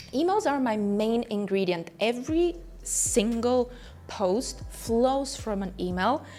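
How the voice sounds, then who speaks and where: A woman with a non-native accent at a very slow pace, with music in the background. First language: not English. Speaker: business coach and entrepreneur. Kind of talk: online business tutorial.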